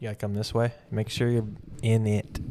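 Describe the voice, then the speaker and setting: Noticeable background noise sits behind this man. He speaks fairly quickly at a fairly low pitch. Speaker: art gallery owner and video creator. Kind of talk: casual chat. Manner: loud.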